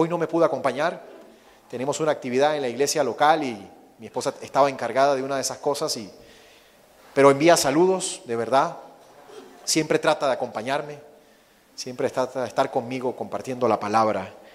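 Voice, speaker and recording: A man with a Venezuelan accent talks at a fairly quick pace in a fairly high pitch. His speech has long, frequent pauses. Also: ordinary pitch variation. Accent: Venezuelan accent, noticeable. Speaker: missionary preacher. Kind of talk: sermon.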